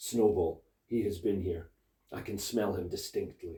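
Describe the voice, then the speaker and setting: A raspy, put-on character voice from a man, medium in pitch, at a moderate pace. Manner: terrible, menacing.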